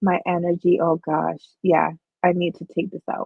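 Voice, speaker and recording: A quiet woman speaks with monotone, flat intonation. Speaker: crochet livestreamer. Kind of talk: casual livestream chat. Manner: low energy, quiet.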